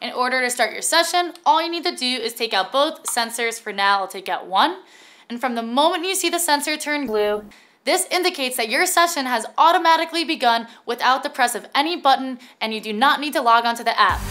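Raised and projected, a woman's bright, sharp voice moves at a fairly quick pace with lively intonation. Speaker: presenter. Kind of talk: tutorial. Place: studio.

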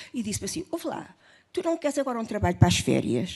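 A woman with a dark, mellow tone and vocal fry talks at a fairly quick pace with very wide pitch swings. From Portugal. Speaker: film editor; witness. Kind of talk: panel testimony. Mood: emotional, nostalgic. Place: hall. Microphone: handheld.

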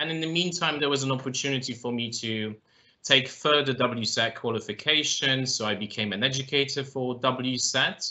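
A man's speech has ordinary pitch variation and a moderate pace. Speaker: guest. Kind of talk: interview answer. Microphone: video call.

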